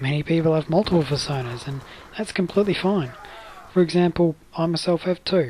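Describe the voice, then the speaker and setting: Noticeable background noise accompanies fairly quick speech. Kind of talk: casual instructional talk over gameplay.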